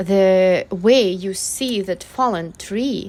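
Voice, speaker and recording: On a very clean recording with a silent background, the speaker talks with a non-native accent and fairly even intonation. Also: woman. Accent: foreign accent, self-described. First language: not English. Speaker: artist vlogger. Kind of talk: casual vlog monologue. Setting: outdoors in a park. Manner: hesitant, with many fillers.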